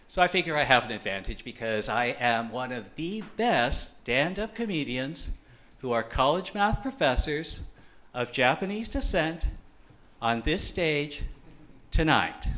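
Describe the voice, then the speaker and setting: A man with an American accent has a fairly high pitch and a bright, sharp tone. He talks at a fairly slow pace with very wide pitch swings. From USA. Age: 30s. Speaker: comedian. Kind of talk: stand-up.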